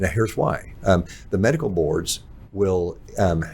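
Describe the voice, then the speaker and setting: This man's voice is very deep and low-pitched, with a somewhat breathy quality. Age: 60s. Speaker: pharmacist. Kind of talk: casual chat.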